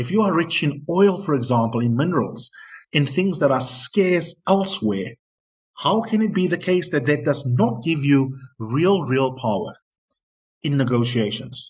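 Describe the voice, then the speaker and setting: A somewhat breathy voice with lively intonation, speaking at a moderate pace. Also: man, fairly high pitch for a man. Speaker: podcast host. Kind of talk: interview.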